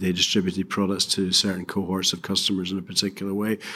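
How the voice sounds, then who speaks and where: With a British accent, a man speaks in a fairly low pitch, his bright, sharp tone delivered with monotone, flat intonation. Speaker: retired bank chairman. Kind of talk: interview.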